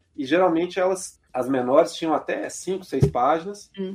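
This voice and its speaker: Using an unremarkable speaking voice, this man delivers his words at a moderate speed, his pitch rising and falling in an ordinary way. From Belo Horizonte, Minas Gerais, Brazil. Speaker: labour court judge. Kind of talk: interview.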